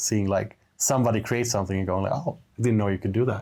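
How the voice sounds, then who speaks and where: A normal speaking voice delivers the lines with fairly even intonation. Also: man. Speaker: game developer. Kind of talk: casual interview answer.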